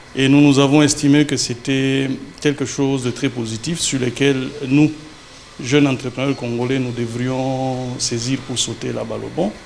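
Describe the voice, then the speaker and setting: Noticeable background noise surrounds a man who speaks at medium pitch, fairly slowly, in a monotone, flat intonation. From DR Congo. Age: 40s. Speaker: entrepreneur. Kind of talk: TV interview.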